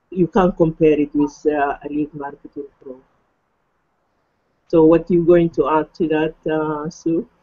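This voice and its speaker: A woman with a non-native accent, fairly low in pitch, monotone and flat, at a fairly slow pace. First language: not English. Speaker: online marketing affiliate, hangout host. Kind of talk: casual chat. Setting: video call.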